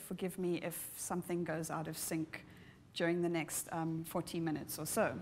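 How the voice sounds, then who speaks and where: A woman with a South African accent speaks at a fairly quick pace. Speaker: ecosystem services researcher, keynote speaker. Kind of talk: conference keynote lecture. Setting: conference hall with audience, live streamed.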